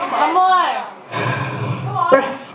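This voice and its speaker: A woman with an American accent speaks over noticeable background noise. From Detroit. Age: young. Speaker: spoken word poet. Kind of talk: poetry slam performance. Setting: live stage with audience.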